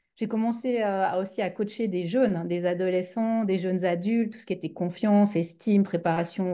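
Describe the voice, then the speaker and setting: Against a quiet background, a woman with a Swiss accent speaks at a moderate pace, her medium-pitched voice dark and mellow with fairly even intonation. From Switzerland. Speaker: business coach, former teacher. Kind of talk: interview conversation. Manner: hesitant, many fillers.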